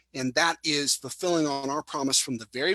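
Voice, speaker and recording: The voice has a bright, sharp tone and ordinary pitch variation, delivered at a fairly quick pace with a dry, close sound and no echo. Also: man. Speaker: network marketing presenter. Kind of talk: sales pitch webinar. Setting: live webinar.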